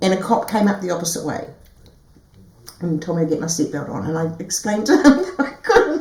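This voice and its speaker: A woman at medium pitch with lively intonation and a fairly quick pace broken by long, frequent pauses, amid noticeable background noise and audible room echo. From New Zealand. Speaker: herbalist and massage therapist. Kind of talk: casual interview chat. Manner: animated.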